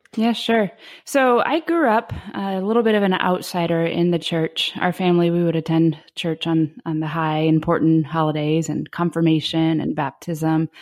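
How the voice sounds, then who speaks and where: A woman with an American accent has an unremarkable speaking voice at a fairly low pitch. She talks at a moderate pace with ordinary pitch variation. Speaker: senior pastor and author. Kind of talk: interview conversation.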